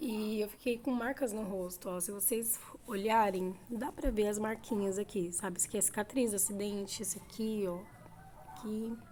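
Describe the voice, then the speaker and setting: Fairly high pitch from a woman, fairly even intonation, moderate pace. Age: 30s. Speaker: vlogger. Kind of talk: casual chat.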